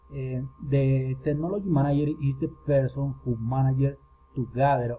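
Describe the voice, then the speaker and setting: Speech with a Spanish accent moves at a fairly slow pace. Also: man. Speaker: student. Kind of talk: class presentation. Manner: halting.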